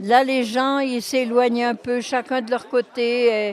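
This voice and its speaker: Over noticeable background noise, a woman with a fairly high pitch speaks at a very slow pace. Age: 80s+. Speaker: former resident, volunteer. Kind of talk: interview, reminiscence.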